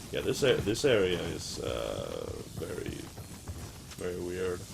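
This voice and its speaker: Noticeable background noise sits behind a man's voice. The room echo is audible. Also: fairly slow pace. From Sweden. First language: Swedish. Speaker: gaming streamer. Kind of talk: casual chat. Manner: halting.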